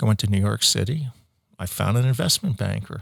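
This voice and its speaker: His delivery is very fast. A man's intonation stays lively throughout. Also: very clean recording, silent background. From US Midwest, Ohio. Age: 60s. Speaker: entrepreneur, company founder. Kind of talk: interview conversation.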